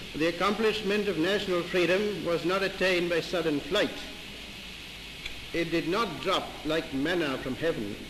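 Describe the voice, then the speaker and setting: Over noticeable background noise, a man speaks at a moderate pace in a high pitch, with ordinary pitch variation and very even loudness. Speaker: retiring High Commissioner for India. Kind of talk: formal reception speech, newsreel. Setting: 1947 newsreel recording.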